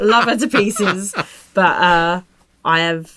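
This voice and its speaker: A woman's medium-pitched voice, bright and sharp in tone, at a very slow pace with lively intonation. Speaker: podcast host. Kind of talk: casual chat.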